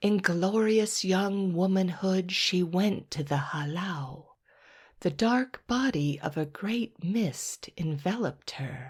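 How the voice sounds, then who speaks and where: In a put-on character voice, a woman speaks breathily at a medium pitch and a fairly slow pace, her tone soothing and her intonation lively. The recording is very clean, with a silent background. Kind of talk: bedtime story. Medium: read story. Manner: slow, soothing.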